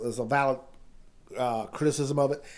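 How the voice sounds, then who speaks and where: A man uses a normal speaking voice with fairly even intonation. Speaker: former Army paratrooper. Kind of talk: casual podcast conversation.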